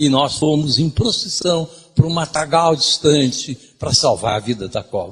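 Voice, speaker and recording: With music playing behind him, a man talks at a fairly slow pace using lively intonation. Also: fairly high pitch for a man. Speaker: lecturer. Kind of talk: lecture.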